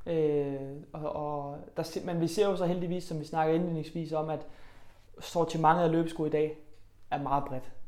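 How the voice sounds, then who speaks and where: Audible room echo surrounds a man with a fairly high pitch. He speaks at a fairly slow pace in a flat monotone. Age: 20s. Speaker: running shoe store partner. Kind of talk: interview. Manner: hesitant with fillers.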